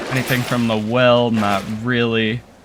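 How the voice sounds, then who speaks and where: The voice moves at a very slow pace over music in the background. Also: man. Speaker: gaming commentator. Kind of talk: gameplay commentary.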